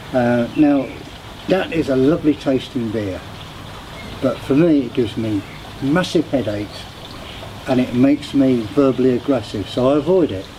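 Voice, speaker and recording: A man with a British accent talks at a medium pitch and a moderate pace. His pitch varies in an ordinary way, and there is noticeable background noise. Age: 70s. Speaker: beer reviewer, vlogger. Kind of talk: casual product review. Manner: halting with fillers.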